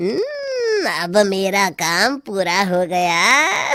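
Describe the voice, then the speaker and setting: A female-sounding, cartoonish character voice comes through at medium pitch. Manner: cackling, sly.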